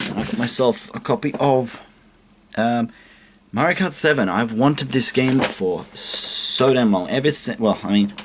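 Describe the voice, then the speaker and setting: Quiet and fairly slow, a man speaks at medium pitch with lively intonation over noticeable background noise. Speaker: video game collector YouTuber. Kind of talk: casual show-and-tell vlog. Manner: quiet, keeping voice down. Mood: pleased, relaxed. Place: home room. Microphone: webcam.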